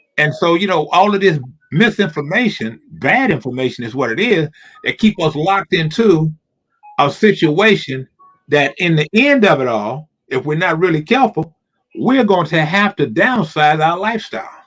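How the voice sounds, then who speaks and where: Very wide pitch swings are heard over music in the background. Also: man, high pitch for a man, moderate pace. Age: 60s. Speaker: talk show co-host. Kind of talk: casual chat. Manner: halting, repeats words.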